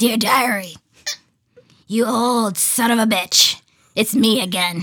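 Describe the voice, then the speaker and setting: A woman puts on a gruff character voice, fairly high in pitch. She speaks at a fairly slow pace with fairly even intonation. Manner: grumpy, cantankerous.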